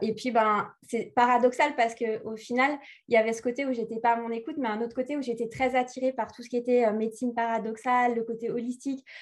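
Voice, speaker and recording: This woman has a fairly high pitch and a fairly quick pace. Hers is an ordinary speaking voice. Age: 30s. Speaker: spiritual life coach. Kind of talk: interview.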